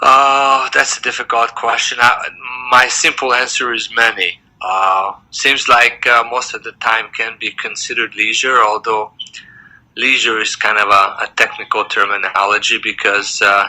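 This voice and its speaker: A man at medium pitch with a Hungarian accent, moderate pace and fairly even intonation. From Hungary, moved to US as young teenager. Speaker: dentist. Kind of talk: interview.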